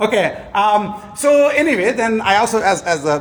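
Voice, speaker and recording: A man's voice moves in very wide pitch swings. Noticeable background noise runs underneath. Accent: Indian. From India. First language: Telugu. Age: 60s. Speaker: professor. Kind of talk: award lecture. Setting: conference hall with audience. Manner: halting, many fillers.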